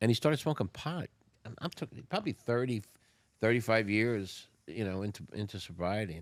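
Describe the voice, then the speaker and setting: Speaking in a North Jersey accent, a man with a fairly low pitch moves at a fairly quick pace with lively intonation. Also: very clean recording, silent background. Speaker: recovering addict, retired restaurateur. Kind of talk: podcast interview. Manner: casual.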